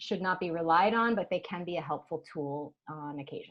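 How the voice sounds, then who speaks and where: An unremarkable speaking voice from a woman, fairly low in pitch, at a moderate pace with ordinary pitch variation. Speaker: hormone health expert and author. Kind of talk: interview conversation.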